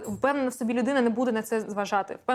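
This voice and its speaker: A woman's fairly high voice in a Russian accent, with fairly even intonation. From Donetsk, eastern Ukraine. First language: Russian (speaking Ukrainian). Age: 30s. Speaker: esports reporter and analyst. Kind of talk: interview. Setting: bar.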